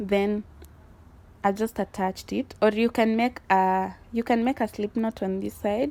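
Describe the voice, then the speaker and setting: This woman speaks with a non-native accent. The recording is very clean with a silent background. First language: not English. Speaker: crochet tutorial creator. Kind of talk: tutorial.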